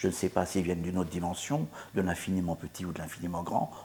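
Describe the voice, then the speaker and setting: Pitched fairly low, a man talks at a very fast pace. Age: 60s. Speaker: author and musician. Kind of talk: interview. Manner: halting.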